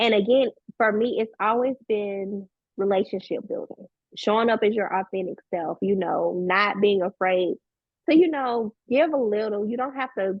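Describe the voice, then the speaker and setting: Speaking in a Southern US accent, a woman keeps a moderate pace with ordinary pitch variation. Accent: very Southern. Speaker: business coach and tax professional. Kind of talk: podcast interview.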